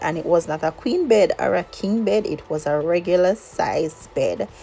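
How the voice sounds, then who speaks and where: At a moderate pace, a woman speaks with a medium pitch against noticeable background noise. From Jamaica, Old Harbour, Saint Catherine. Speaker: lifestyle vlogger and teacher. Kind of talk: personal storytelling vlog. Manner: conversational.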